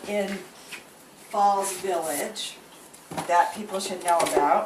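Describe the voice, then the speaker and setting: A woman with an American accent at medium pitch, very slow pace, and noticeable background noise. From Connecticut. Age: 60s. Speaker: home cook. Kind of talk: cooking demonstration. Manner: casual.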